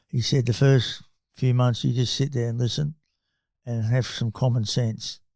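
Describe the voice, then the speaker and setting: An Australian accent, somewhat breathy, at a moderate pace with monotone, flat intonation on a very clean recording with a silent background. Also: man, medium pitch for a man. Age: 70s. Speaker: company chairman and investor. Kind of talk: podcast interview. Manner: hesitant fillers.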